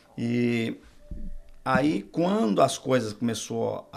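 With music playing in the background, a man talks at a medium pitch. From Minas Gerais, Brazil. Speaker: pastor. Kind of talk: testimony.

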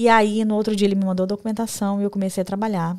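The delivery is monotone and flat, on a very clean recording with a silent background. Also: woman. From Brazil. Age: 40s. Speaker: diploma validation consultant, entrepreneur. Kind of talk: casual interview. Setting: live podcast studio.

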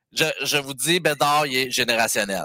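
The tone is bright and sharp, at a fairly slow pace. The sound is dry and close, with no echo. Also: man. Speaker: hockey fan caller. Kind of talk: casual chat.

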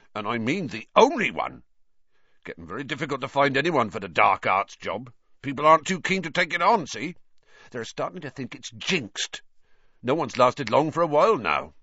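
Putting on a gruff, growling character voice with a slightly husky edge and a bright, sharp tone, a man speaks at a moderate pace in a medium pitch with big pitch swings.

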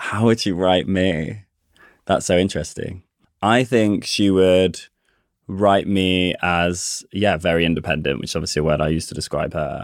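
A man's very deep, low pitch with ordinary pitch variation at a moderate pace, on a very clean recording with a silent background. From Coventry, England. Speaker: playwright and director. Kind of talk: casual chat.

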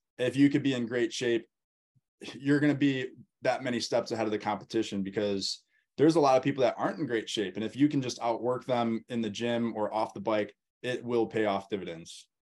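Against a quiet background, a man speaks at a fairly quick pace in a plain, everyday voice, medium in pitch with ordinary pitch variation. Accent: American. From US Midwest, Wisconsin. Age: 20s. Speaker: motocross coach and pro racer. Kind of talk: interview.

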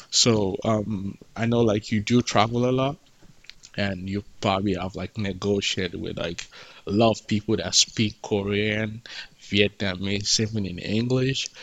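A man with a strong African accent, fairly low-pitched and fairly even in intonation, at a fairly slow pace. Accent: thick African. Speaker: podcast host. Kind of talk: casual interview chat.

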